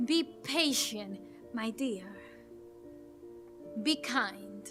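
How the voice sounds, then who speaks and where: A woman's raised, projected voice with very wide pitch swings, music playing in the background. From Dominican Republic. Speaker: poet and actress. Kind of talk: spoken word poetry performance.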